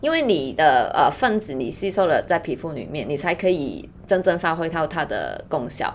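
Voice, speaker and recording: Her intonation is lively and her pitch fairly low for a woman. She keeps a moderate pace with hardly any pauses. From Hong Kong. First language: Cantonese (speaking Chinese). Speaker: skincare brand founder and yoga teacher. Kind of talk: casual chat.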